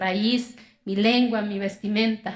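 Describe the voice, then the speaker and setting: A woman's fairly slow speech in an Oaxacan accent, fairly high in pitch with fairly even intonation. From Mexico, Oaxaca (Zapotec community). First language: Zapotec (speaking Spanish). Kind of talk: inspirational talk.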